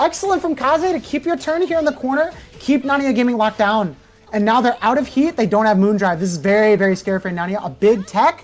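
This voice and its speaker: Over noticeable background noise, a woman speaks very fast in a fairly high, animated voice with very wide pitch swings. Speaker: fighting game commentator. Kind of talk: live commentary. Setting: livestream.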